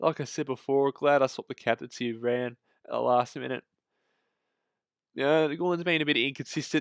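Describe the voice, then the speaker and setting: On a very clean recording with a silent background, a man with an Australian accent speaks at a moderate pace with fairly even intonation. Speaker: fantasy football content creator. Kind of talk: casual commentary on fantasy team results. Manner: hesitant, many fillers.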